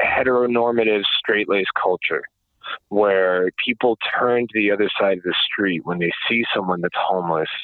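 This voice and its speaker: A man is speaking. He has an American accent. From US Northeast, New York suburbs. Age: 30s. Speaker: recovered homeless person. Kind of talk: interview. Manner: halting, many fillers.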